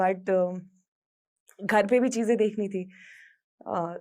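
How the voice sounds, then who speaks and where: A woman's ordinary speaking voice, medium in pitch with ordinary pitch variation, on a very clean recording against a silent background. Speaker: radio jockey. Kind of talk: motivational talk.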